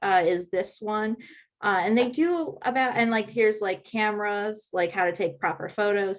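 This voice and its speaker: Against a quiet background, a woman with an unremarkable speaking voice talks in a fairly high pitch with ordinary pitch variation. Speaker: helpful hints presenter on social media scheduling. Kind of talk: tutorial.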